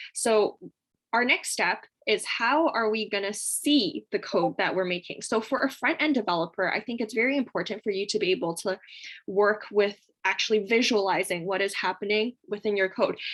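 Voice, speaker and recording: This woman has a plain, everyday voice at medium pitch. She talks at a moderate pace with ordinary pitch variation. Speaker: coding workshop instructor. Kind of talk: tutorial. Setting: video call.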